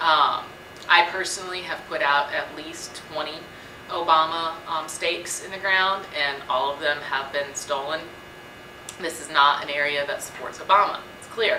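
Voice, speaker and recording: Loudness swings widely as a woman with a very deep, low pitch speaks at a moderate pace with fairly even intonation. Audible room echo and noticeable background noise come through. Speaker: student vlogger. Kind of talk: casual vlog commentary. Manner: hesitant with many fillers.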